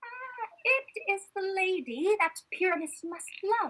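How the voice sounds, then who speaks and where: A woman does a put-on character voice, squeaky and extremely high-pitched. Her pitch swings very widely at a fairly slow pace. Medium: stage play. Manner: hesitant, placating.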